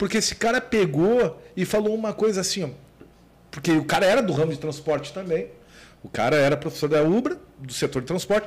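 High-pitched and fairly quick, a man speaks with lively intonation. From Porto Alegre, southern Brazil. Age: 40s. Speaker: business owner. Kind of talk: casual interview chat.

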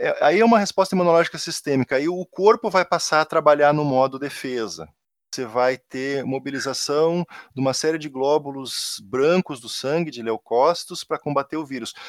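A man with a southern Brazilian accent speaks at a moderate pace in a fairly high pitch, with ordinary pitch variation and big swings in loudness, recorded dry and close with no echo against a silent background. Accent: gaúcho. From Rio Grande do Sul, southern Brazil. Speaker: university professor. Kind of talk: casual interview.

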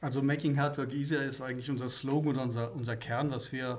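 This man's voice is fairly high and somewhat breathy. His intonation stays monotone and flat, with audible room echo. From Swabia, southern Germany. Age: 50s. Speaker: company managing director. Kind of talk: casual interview chat.

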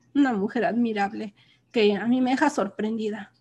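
A woman speaks at a moderate pace. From Mexico, Hidalgo. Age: old. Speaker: factory worker. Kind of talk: casual chat.

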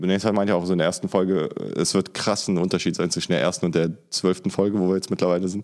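Amid noticeable background noise, a man talks at a very fast pace in a very deep, low voice, monotone and flat, with very even loudness. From Germany. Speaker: anti-racism trainer. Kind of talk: casual interview.

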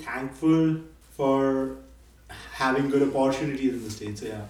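With noticeable background noise behind him, a man at medium pitch speaks at a fairly slow pace. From Nepal, grew up in India. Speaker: graduate business student. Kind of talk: casual interview. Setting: guest's apartment.

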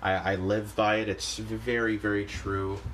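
With vocal fry, a man speaks at a fairly low pitch. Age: 20s. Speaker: podcast host. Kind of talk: solo vlog-style monologue. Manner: halting, many fillers and restarts.

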